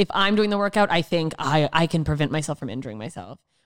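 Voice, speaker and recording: A woman with a plain, everyday voice talks at a fairly quick pace and fairly low pitch with ordinary pitch variation, sounding dry and close with no echo in a very clean recording over a silent background. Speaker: comedian. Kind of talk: casual chat.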